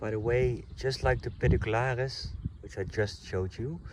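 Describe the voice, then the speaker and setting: A man speaks at a moderate pace with ordinary pitch variation, and audible room echo surrounds his voice. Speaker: nature vlogger. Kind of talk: outdoor walk-and-talk tutorial. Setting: outdoors. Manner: casual, some hesitations.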